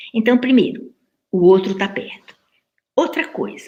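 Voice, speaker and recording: A woman's voice, somewhat breathy and fairly high, with ordinary pitch variation. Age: 70s. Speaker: professor. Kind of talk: lecture.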